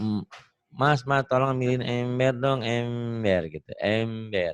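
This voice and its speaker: A man puts on a nasal character voice at medium pitch, speaking at a fairly slow pace. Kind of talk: casual, colloquial.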